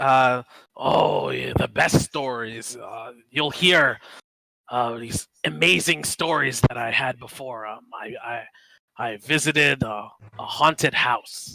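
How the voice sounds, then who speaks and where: Using a raspy, put-on character voice at a medium pitch, a man speaks at a very slow pace with long, frequent pauses and ordinary pitch variation. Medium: actual play.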